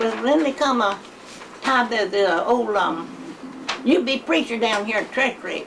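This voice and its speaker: Over noticeable background noise, a high-pitched woman talks at a fairly slow pace with lively intonation. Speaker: elderly interviewee. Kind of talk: oral history storytelling.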